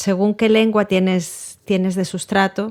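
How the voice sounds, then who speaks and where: Fairly slow, medium-pitched speech from a woman. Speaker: poet. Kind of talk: interview. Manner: halting.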